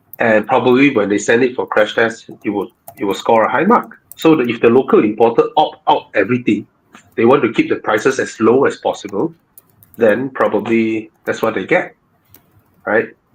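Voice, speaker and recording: Speaking at a moderate pace, a man talks with a Malaysian accent. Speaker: car show host. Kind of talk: live Q&A chat. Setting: live stream. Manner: soft-spoken.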